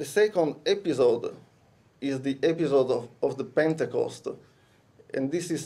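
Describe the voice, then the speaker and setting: With an Italian accent, a man speaks at a moderate pace in a fairly high pitch, his tone dark and mellow and his pitch varying in an ordinary way. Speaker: conference speaker. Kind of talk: lecture. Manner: halting.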